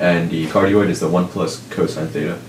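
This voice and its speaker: Noticeable background noise surrounds a man with a very deep, low voice. His pitch varies in an ordinary way. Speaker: student. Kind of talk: unprepared math explanation at a board. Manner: hesitant, with fillers.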